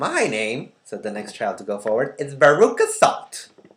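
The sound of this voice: Text is being read out. The reading voice is unforced.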